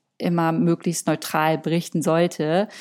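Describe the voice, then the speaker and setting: With fairly even intonation and a dark, mellow tone, a woman talks at a moderate pace. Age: 30s. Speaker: influencer and content creator. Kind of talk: interview.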